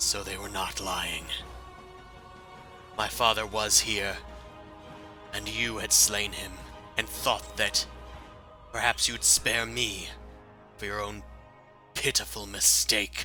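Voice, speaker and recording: Growling in a put-on character voice, a man speaks at a fairly slow pace over clear music in the background. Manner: snarling, menacing.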